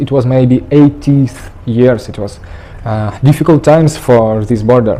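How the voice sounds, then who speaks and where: The speaker has a Russian accent and a fairly slow pace. The intonation is lively. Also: man. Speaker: traveller. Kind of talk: interview. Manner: halting.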